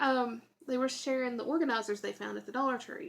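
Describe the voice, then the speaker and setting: Here a woman speaks with a Southern US accent. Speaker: YouTuber. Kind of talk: tutorial. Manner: casual, chatty.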